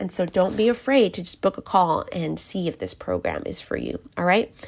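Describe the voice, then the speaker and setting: The recording is very clean, with a silent background. A woman speaks at a moderate pace with vocal fry. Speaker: podcast host and coach. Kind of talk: solo podcast talk. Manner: casual, filler words.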